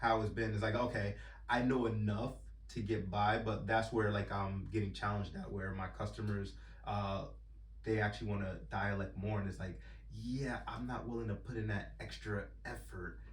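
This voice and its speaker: With an American accent, a man talks at a moderate pace amid noticeable background noise and audible room echo. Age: 30s. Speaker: truck driver, podcast guest. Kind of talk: casual chat. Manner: halting, many fillers.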